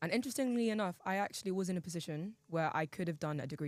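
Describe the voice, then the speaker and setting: A woman speaks at a very fast pace in a London accent. The recording is very clean, with a silent background. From England, East London. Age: 19. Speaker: university student. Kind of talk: podcast debate.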